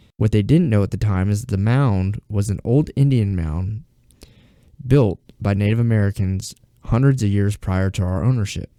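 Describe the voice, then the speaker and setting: A man with an Alabama accent speaks in a fairly low voice with a dark, mellow tone. His pace is moderate with ordinary pitch variation, and the sound is dry and close with no echo. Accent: southern US (Alabama). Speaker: YouTube storyteller. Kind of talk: reading aloud. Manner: halting, possible stuttering.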